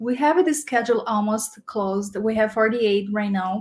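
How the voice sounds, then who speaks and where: Speaking with a Portuguese accent, a woman uses a fairly high pitch, ordinary pitch variation and a somewhat breathy voice at a moderate pace. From Brazil. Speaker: community program manager. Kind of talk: casual chat.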